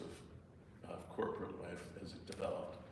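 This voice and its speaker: A man talks with an American accent. There is audible room echo and noticeable background noise. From US Midwest (Cleveland, Minneapolis). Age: 70s. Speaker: therapist and lecturer. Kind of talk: lecture. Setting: church hall with audience. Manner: halting, many fillers.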